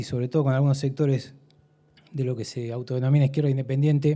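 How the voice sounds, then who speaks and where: With a dark, mellow tone and medium pitch, a man talks at a fairly quick pace. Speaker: audience member asking a question. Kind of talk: audience question at a debate. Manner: fast.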